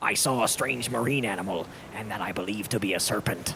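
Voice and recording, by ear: A man puts on a character voice at a fairly low pitch. He talks very fast over clear background noise.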